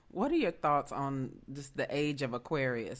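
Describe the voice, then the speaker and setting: A woman speaks with a Southern US accent at a moderate pace. Her pitch is very deep and low. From US South, Memphis. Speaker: podcast host. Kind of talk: interview.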